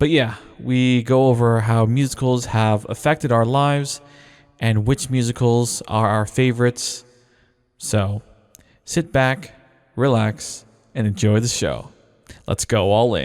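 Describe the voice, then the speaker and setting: A man at medium pitch, speaking fairly slowly with long, frequent pauses and music in the background. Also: very even loudness. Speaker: podcast host. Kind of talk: casual chat. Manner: animated.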